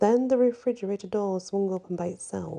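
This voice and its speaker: The speaker is soft-spoken and talks at a moderate pace. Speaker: ASMR storyteller. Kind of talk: ghost story reading.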